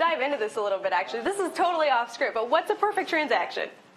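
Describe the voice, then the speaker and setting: High-pitched woman's voice with very wide pitch swings at a fairly quick pace, over noticeable background noise. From Iowa, US Midwest. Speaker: real estate instructor. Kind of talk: lecture. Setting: classroom with audience. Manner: fast.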